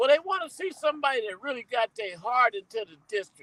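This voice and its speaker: A man speaks in a raised, projected voice with a bright, sharp tone and ordinary pitch variation. The sound is dry and close, with no echo. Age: 60s. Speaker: campaign volunteer. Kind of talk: casual chat. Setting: studio.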